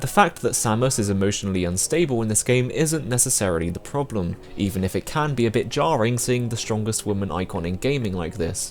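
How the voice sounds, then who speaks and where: Music plays behind a man with a British accent. His fairly low voice moves at a fairly quick pace with lively intonation. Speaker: video game reviewer. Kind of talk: scripted review narration.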